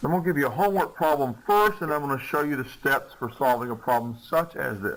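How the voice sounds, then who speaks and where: Over noticeable background noise, a man with a fairly high pitch races along at a very fast pace with lively intonation and hardly any pauses. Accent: American. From US South. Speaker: chemistry teacher. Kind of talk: lecture.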